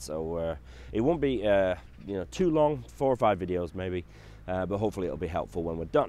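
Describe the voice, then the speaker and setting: Speaking with a Yorkshire accent, a man keeps a fairly quick pace. His voice is very deep and low, with a dark, mellow tone. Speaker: financial adviser. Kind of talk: tutorial. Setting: outdoors. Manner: casual, hesitant with fillers.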